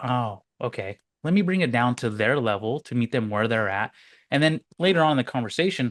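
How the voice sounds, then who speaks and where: The speaker uses lively intonation at a fairly quick pace, with a dry, close sound, no echo and a quiet background. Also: man, medium pitch for a man. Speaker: business coach podcast host. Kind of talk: casual chat. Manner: fast.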